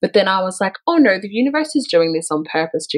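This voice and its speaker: A woman talks at a very fast pace with an Australian accent. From Melbourne, Australia. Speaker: spiritual coach and author. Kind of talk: interview.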